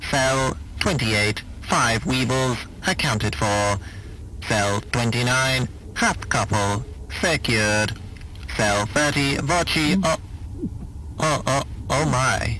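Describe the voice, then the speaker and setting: In a put-on character voice, a man speaks fairly slowly at a medium pitch. Long, frequent pauses break it up, with clear background noise behind. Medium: audio drama. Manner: stuttering, dry, precise.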